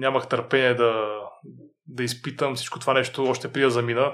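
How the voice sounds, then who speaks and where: Here a man talks at a fairly quick pace. His medium-pitched delivery is monotone, with flat intonation. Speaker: author and fitness trainer. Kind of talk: interview.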